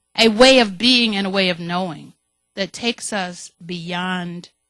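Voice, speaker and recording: A woman talks at a fairly slow pace with music in the background, the sound dry and close with no echo. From US South, Mississippi Delta. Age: 70s. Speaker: community health center leader. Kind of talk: panel talk. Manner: halting, many fillers.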